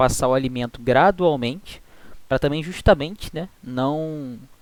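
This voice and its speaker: A man with a Brazilian accent speaks at a moderate pace. His pitch is fairly high, with ordinary variation. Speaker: student tutor teaching veterinary physiology. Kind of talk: online tutoring lecture.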